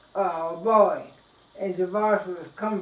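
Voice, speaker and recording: At a medium pitch, a woman talks with noticeable background noise behind her. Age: 80s+. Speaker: family elder. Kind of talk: oral history interview. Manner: halting.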